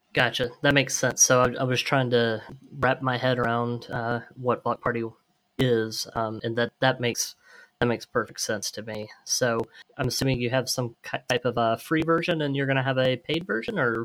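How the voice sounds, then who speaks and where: A man with a plain, everyday voice speaks at a moderate pace in a medium pitch, his intonation fairly even. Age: 40s. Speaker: podcast co-host, agency owner. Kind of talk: podcast interview.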